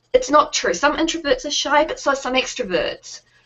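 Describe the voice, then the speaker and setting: A woman with a New Zealand accent, at a moderate pace. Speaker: founder of a resource website for introverted business owners. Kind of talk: interview.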